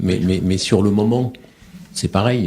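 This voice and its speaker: The speech goes at a moderate pace with ordinary pitch variation over noticeable background noise. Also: man. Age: 50s. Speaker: war reporter and author. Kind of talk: radio interview. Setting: radio studio. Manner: halting, many repetitions.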